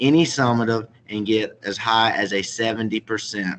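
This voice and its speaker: A man with a Southern US accent speaks at a medium pitch. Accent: Southern US, noticeable. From South Carolina, Chesterfield. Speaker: middle school teacher. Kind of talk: presentation to parents. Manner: formal.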